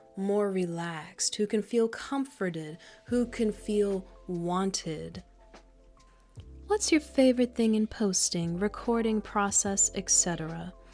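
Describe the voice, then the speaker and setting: A woman of medium pitch talks at a very slow pace with ordinary pitch variation while music plays in the background. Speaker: ASMR creator. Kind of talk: ASMR Q&A to camera, doting comforting talk. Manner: soft-spoken, gentle, comforting.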